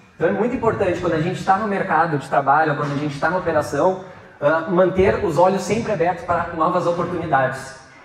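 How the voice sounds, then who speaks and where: Amid noticeable background noise and audible room echo, a man speaks very fast at a high pitch with ordinary pitch variation. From Rio Grande do Sul, southern Brazil. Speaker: entrepreneur and guest speaker. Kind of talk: lecture to students. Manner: halting, many fillers and repetitions.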